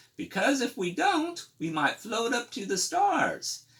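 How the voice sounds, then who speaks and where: Putting on a character voice, a man speaks at a fairly slow pace with an extremely high pitch and very wide pitch swings. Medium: read story. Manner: soft, tender.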